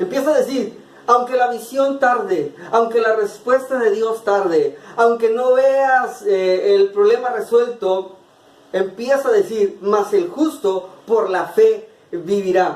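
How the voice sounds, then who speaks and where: Keeping a very even loudness, a man with an extremely high pitch talks at a very slow pace. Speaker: preacher delivering a monologue-sermon. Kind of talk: sermon / preaching monologue.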